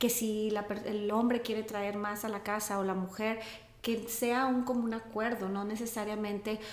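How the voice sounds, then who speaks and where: The speech is monotone and flat, at a moderate pace. Noticeable background noise and audible room echo fill the recording. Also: woman. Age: 40s. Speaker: yoga and meditation teacher. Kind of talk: interview.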